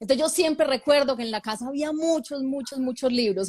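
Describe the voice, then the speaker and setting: A woman speaks with a paisa Colombian accent and ordinary pitch variation. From Colombia, Medellín (paisa). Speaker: author. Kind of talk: interview.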